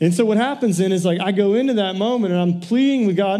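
Dark, mellow tone with ordinary pitch variation comes through with audible room echo. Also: man. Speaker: pastor. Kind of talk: sermon. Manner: animated.

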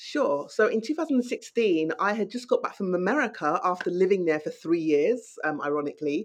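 Fairly quick, hardly-pausing speech from a woman with a London accent, medium in pitch with very wide pitch swings. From London, England. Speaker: novelist. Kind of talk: interview.

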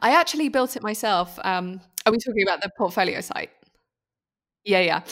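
A woman with a British accent, fairly quick pace, lively intonation and long, frequent pauses, on a very clean recording with a silent background. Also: medium pitch for a woman. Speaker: food photographer and teacher. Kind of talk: casual interview chat.

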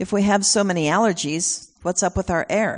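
A woman with a plain, everyday voice, a moderate pace and ordinary pitch variation against a quiet background. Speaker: guest speaker sharing her son's message. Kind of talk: sermon. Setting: church.

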